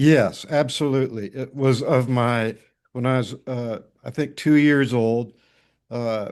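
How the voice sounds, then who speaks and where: Over a quiet background, a man at a medium pitch speaks at a fairly slow pace with fairly even intonation. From US Midwest, northwest Iowa. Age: 60s. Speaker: newspaper editor. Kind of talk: interview. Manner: halting.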